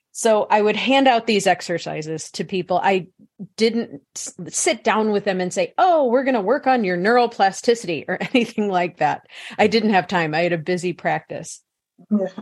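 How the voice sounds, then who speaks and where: A woman with an American accent uses a normal speaking voice at medium pitch. Her intonation is lively and her pace is moderate. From US Midwest (St. Louis, Missouri). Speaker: psychologist and author. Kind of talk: interview.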